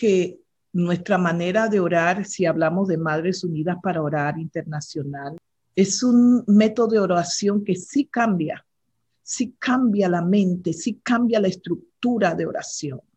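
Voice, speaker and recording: At a fairly slow pace, a woman speaks in a somewhat breathy voice of medium pitch, dark and mellow in tone, with ordinary pitch variation. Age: 60s. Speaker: regional director of a women's prayer ministry. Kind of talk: interview. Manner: hesitant, with fillers.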